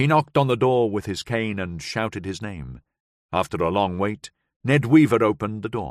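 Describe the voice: The speaker is doing plain reading aloud. Behind the voice, all is quiet.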